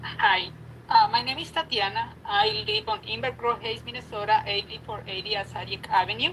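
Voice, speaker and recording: A woman with a non-native accent, over noticeable background noise. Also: moderate pace. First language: not English. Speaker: sanctuary volunteer. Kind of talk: public hearing comment. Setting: video call.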